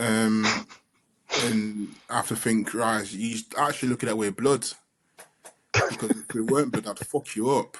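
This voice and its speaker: This man has a London accent and a medium pitch. He speaks at a moderate pace with fairly even intonation and long, frequent pauses. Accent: London Multicultural English. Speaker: father, podcast co-host. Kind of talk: casual chat. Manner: loud.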